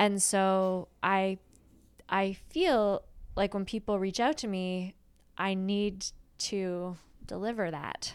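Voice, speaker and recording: A woman at a medium pitch speaks very slowly with fairly even intonation and long, frequent pauses. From Prince Edward Island, Canada. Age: 30s. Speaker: actor and podcast co-host. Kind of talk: casual interview chat. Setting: remote call from home.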